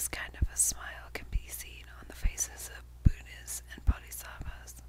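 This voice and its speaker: A woman whispers at a moderate pace, with big swings in loudness. Noticeable background noise runs underneath. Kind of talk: book reading. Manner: whispered.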